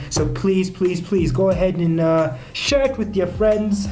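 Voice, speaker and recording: Over music in the background and audible room echo, a man with an American accent speaks at a moderate pace with ordinary pitch variation. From United States, later Kenya. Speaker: podcast host. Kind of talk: casual podcast monologue.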